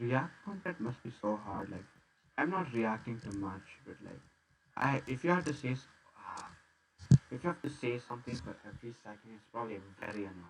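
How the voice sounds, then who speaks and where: A man with an Indian accent sounds somewhat breathy, using lively intonation, big swings in loudness, and long, frequent pauses. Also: medium pitch for a man, fairly quick pace. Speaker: gamer streamer. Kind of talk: gameplay commentary. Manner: hesitant, stammering.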